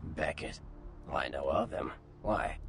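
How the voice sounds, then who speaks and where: Over clear background noise, a man puts on a raspy character voice and speaks at a moderate pace. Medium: video game. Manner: casual, breezy.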